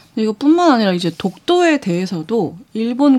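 Speaking at a moderate pace, a woman lets her pitch swing very widely. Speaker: news reporter. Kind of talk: news discussion.

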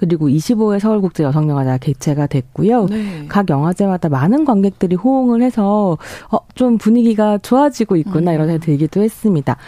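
A woman speaks at a fairly quick pace with medium pitch and a dark, mellow tone. Her pitch swings very widely. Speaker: culture critic. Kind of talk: radio culture segment talk. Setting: radio studio.

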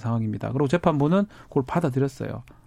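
Fairly high-pitched man's voice with very wide pitch swings, a dry, close sound with no echo, and a quiet background. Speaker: newspaper reporter. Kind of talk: casual discussion. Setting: studio.

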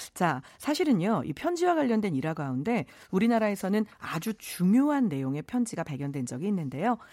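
A woman speaks at a medium pitch and a fairly quick pace with hardly any pauses, her dark, mellow tone swinging very widely in pitch on a very clean recording with a silent background. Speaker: Korean history lecturer. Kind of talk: radio history segment.

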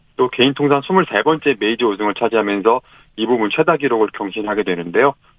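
A man talks at a fairly quick pace. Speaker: sports journalist. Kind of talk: radio sports news report.

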